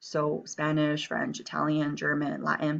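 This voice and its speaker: A woman speaks with an American accent. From Taiwan and US, back and forth. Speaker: Chinese teacher. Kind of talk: reading aloud; lecture. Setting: screencast.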